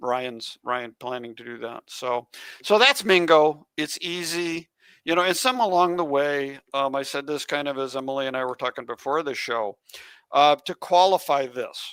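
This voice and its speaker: A man with an unremarkable speaking voice, fairly high in pitch, talks at a moderate pace with ordinary pitch variation and big swings in loudness, the sound dry and close with no echo on a very clean recording with a silent background. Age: 60s. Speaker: geocaching podcast co-host. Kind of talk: casual chat.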